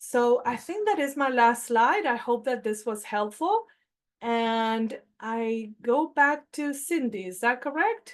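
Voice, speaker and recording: Against a quiet background, a woman with a Spanish accent speaks at a very slow pace in a high pitch with ordinary pitch variation. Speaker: health plan staff presenter. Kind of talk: webinar presentation.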